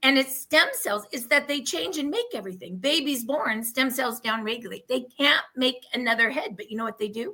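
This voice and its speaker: A woman with an American accent projects a raised voice at a high pitch in a bright, sharp, animated tone. She moves at a fairly quick pace with ordinary pitch variation. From Oregon. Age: 60s. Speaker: product testimonial guest. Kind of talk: testimony.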